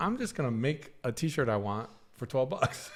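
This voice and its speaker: The very clean recording with a silent background holds a man of medium pitch, an ordinary speaking voice, talking at a moderate pace. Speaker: podcast co-host. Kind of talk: casual chat.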